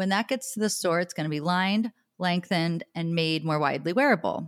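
A woman speaks at a fairly quick pace with a medium pitch, lively intonation and an enthusiastic, warm tone. The recording is very clean with a silent background and a dry, close sound with no echo. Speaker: podcast host and personal stylist. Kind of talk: casual interview conversation.

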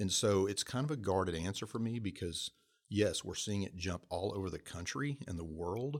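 A plain, everyday voice from a man, fairly low in pitch, at a moderate pace. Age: 50s. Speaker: professor. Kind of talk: interview.

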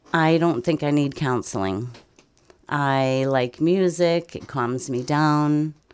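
This woman's voice is very deep and low in pitch, with ordinary pitch variation. She speaks at a very slow pace. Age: 50s. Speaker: grandparent raising grandchildren. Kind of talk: interview.

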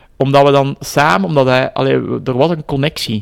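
With a Flemish accent, a man speaks at a fairly slow pace. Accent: Flemish Dutch. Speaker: project leader at a religious heritage centre and author. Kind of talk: interview. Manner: halting.

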